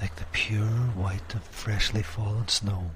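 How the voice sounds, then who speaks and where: Here a man has an ordinary speaking voice with a fairly low pitch. He talks at a fairly slow pace with ordinary pitch variation. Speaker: hypnotist. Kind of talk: guided hypnosis session. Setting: pre-recorded audio session. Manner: slow, soothing, hypnotic.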